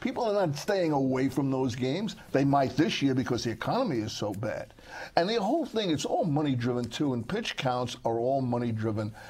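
Somewhat breathy speech at a fairly quick pace with lively intonation. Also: man, medium pitch for a man. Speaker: sportswriter. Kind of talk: casual chat.

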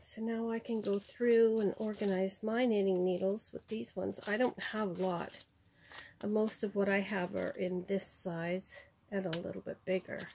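The voice has a dark, mellow tone and fairly even intonation. It moves at a moderate pace over light background noise. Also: woman. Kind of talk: casual haul vlog chat. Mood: pleased, warm. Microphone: phone near.

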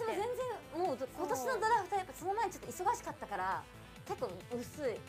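Clear music plays behind a woman whose extremely high voice swings very widely in pitch as she talks at a fairly quick pace. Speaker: voice actor, radio personality. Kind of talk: casual radio talk show. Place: studio.

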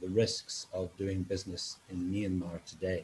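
Light background noise accompanies a man whose somewhat breathy voice has a dark, mellow tone. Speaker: webinar moderator. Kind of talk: event moderation introduction. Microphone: video call.

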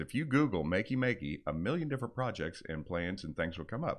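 A man at a fairly quick pace over a quiet background. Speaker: product specialist co-host. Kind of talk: casual informative podcast chat. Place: studio. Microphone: studio mic.

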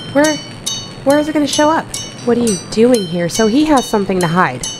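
The pace is fairly quick. Music plays in the background. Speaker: gaming video creator. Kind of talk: casual gameplay commentary.

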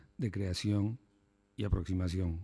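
With a dark, mellow tone, a man speaks at a moderate pace and with fairly even intonation. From Peru. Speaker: cultural attaché. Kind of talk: formal speech. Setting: stage with audience. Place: hall. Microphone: podium.

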